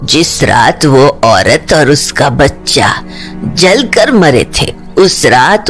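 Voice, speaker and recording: Clear music plays in the background as a put-on character voice at middle pitch speaks very slowly. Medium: audio drama. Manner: grave, knowing.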